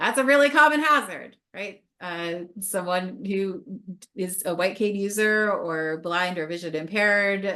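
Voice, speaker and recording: A woman talks at a fairly slow pace with lively intonation. Her medium-pitched voice has a bright, sharp tone. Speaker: counseling professor and webinar presenter. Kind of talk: webinar presentation.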